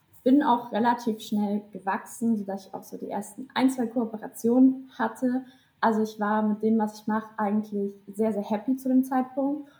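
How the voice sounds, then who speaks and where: A woman's somewhat breathy voice with a dark, mellow tone and fairly high pitch, fairly even intonation, a moderate pace and big swings in loudness. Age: 20s. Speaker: social media content creator and student. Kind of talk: casual interview chat. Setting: video call.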